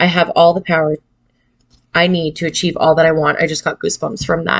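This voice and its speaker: A woman mumbling at a fairly quick pace, her intonation monotone and flat. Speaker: tarot card reader. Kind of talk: tarot reading.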